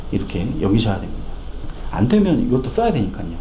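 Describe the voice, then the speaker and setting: A man's voice swings very widely in pitch, with audible room echo and noticeable background noise. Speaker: financial planning lecturer. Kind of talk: lecture. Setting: corporate lecture hall. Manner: fast.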